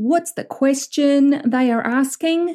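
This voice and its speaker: In a New Zealand accent, a woman speaks at a very slow pace with a dark, mellow tone, on a very clean recording with a silent background. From southern New Zealand. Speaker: business coach, podcast host. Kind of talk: solo coaching monologue. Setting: recording alone in a room.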